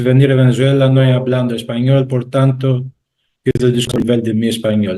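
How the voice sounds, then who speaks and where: The voice has a Greek accent, a dark, mellow tone and a monotone, flat intonation. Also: man. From Greece. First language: Greek (speaking Spanish). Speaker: university professor. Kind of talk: panel talk. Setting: video call. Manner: halting.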